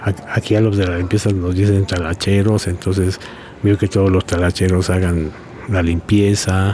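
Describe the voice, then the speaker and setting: Loudness stays very even as the speaker goes at a moderate pace in monotone, flat intonation. Noticeable background noise runs underneath. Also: man, very deep, low pitch for a man. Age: 60s. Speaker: prison inmate. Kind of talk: interview. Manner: halting.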